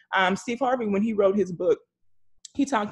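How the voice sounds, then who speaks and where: Very fast and somewhat breathy, a woman talks in an animated tone with ordinary pitch variation. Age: 40s. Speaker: single moms coach and author. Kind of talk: casual chat.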